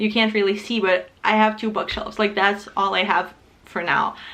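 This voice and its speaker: With a Ukrainian accent, a woman speaks at a fairly high pitch over noticeable background noise. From Ukraine. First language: not English (Ukrainian or Russian). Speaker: booktuber. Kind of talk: casual vlog talk to camera. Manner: casual, with fillers.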